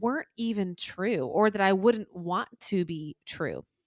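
A woman with a Southern US accent speaks at medium pitch with ordinary pitch variation on a very clean recording with a silent background. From US South. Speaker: life coach. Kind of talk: interview conversation.

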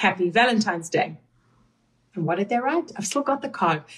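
A woman with a South African accent, medium-pitched, somewhat breathy, at a fairly quick pace. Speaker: podcast host and coach. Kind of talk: casual interview chat with husband.

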